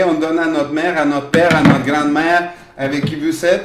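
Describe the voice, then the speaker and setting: A fairly high-pitched man talks at a fairly quick pace with monotone, flat intonation. Noticeable background noise and audible room echo are present. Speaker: workshop leader and primary school teacher. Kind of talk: children's craft workshop demonstration.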